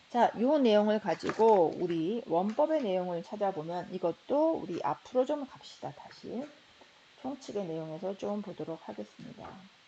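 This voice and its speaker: A woman at a medium pitch and moderate pace, with very wide pitch swings, big swings in loudness and noticeable background noise. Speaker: architecture professor. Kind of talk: lecture. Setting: recorded slide lecture video.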